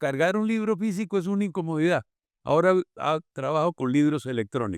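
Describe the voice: A man with a Santander accent, clear, smooth tone and lively intonation at a moderate pace, dry and close with no echo on a very clean recording with a silent background. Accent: Colombian, from Santander.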